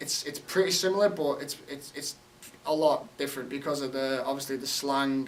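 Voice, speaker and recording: A man with an American accent speaks at a fairly quick pace and a fairly high pitch. Noticeable background noise runs under his voice. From England, Liverpool. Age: 20s. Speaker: college soccer player. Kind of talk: interview.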